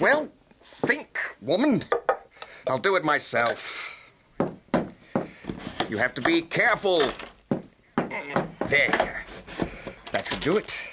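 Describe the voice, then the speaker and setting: A man in a put-on character voice speaks gruffly at a high pitch, his pitch swinging very widely at a fairly slow pace with long, frequent pauses. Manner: gruff, irritable, skeptical.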